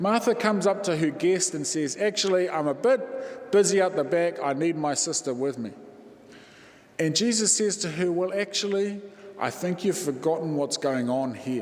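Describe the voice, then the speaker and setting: Against noticeable background noise, a man speaks in a high-pitched voice. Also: lively intonation, moderate pace. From New Zealand, East Cape (Māori). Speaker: Māori Anglican priest, guest preacher. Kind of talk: sermon. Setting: church.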